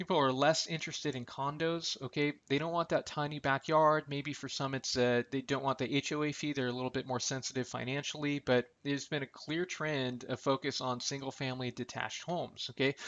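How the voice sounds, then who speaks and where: Fairly quick delivery with hardly any pauses. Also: man, fairly high pitch for a man. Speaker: real estate appraiser and market analyst. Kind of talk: recorded market update presentation. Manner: fast; animated.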